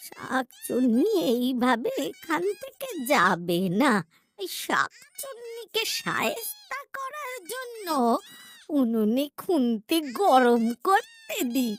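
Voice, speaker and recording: It is a cartoonish character voice with a high pitch. The pace is very slow. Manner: folksy, muttering to herself.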